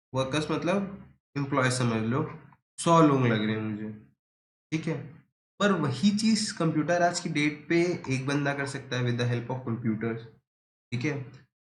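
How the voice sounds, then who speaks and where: A man speaks at a fairly high pitch with lively intonation. Audible room echo surrounds the voice. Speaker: teacher. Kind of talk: lecture. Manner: casual, conversational.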